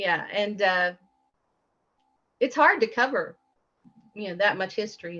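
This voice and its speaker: With a Southern accent and a bright, sharp tone, a woman speaks at a moderate pace with ordinary pitch variation. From Appalachian Kentucky. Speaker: guest. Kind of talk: interview. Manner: halting.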